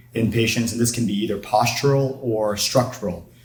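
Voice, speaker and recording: A man speaks at a fairly quick pace with medium pitch. His intonation is monotone and flat, with audible room echo. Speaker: orthopedic surgeon. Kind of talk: lecture.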